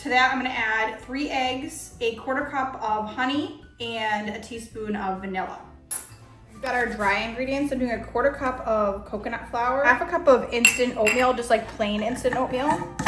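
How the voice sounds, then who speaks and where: Music plays and the room echo is audible as a woman speaks in a high voice. Her intonation stays fairly even, though her loudness swings a lot. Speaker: cooking channel host. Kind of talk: cooking tutorial. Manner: fast; casual, conversational.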